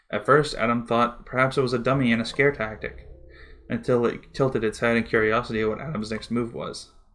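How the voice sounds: A natural reading voice. The intonation stays fairly even.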